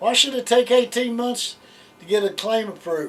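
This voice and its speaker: A man speaks with an American accent. Noticeable background noise runs beneath him. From West Virginia. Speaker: veterans claims officer; Navy veteran. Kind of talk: interview answer.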